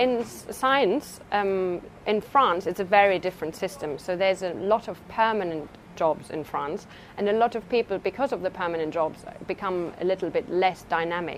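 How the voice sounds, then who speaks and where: A woman with a German accent talks at medium pitch and a moderate pace, using ordinary pitch variation. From Germany. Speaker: research scientist. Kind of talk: interview. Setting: laboratory. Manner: halting.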